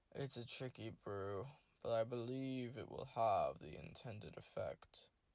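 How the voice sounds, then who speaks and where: A man puts on a character voice, drawling at a moderate pace. His pitch sits in the middle range. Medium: read story.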